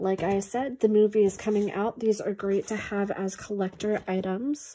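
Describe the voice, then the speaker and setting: The woman's voice has a dark, mellow tone at a fairly slow pace. Light background noise sits behind it. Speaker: small online toy seller. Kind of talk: casual vlog chat. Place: home room. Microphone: phone near.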